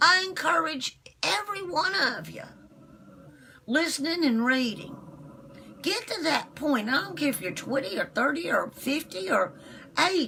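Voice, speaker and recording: Against noticeable background noise, a woman with a high pitch uses a raised, projected voice at a fairly slow pace, her pitch swinging very widely between long, frequent pauses. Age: 60s. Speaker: internet radio host. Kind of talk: live stream monologue. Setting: live video broadcast. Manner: animated.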